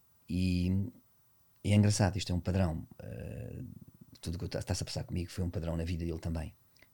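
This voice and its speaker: A man speaks with a very deep, low pitch and a dark, mellow tone. His voice is somewhat breathy. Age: 50s. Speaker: dance teacher and dancer. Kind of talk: casual interview chat. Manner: animated, intense.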